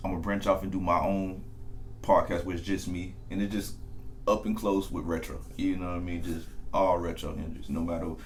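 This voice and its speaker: A man talks at a fairly quick pace with a very deep, low pitch and fairly even intonation. Audible room echo and background music accompany him. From US South. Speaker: podcast host. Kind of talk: interview. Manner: casual.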